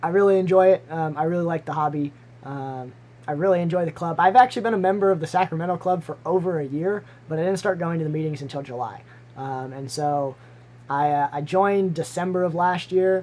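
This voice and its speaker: The speech comes out mumbled at a fairly quick pace. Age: 20s. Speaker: aquarium hobbyist streamer. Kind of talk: live stream Q&A. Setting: live stream with webcam. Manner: mumbling; halting.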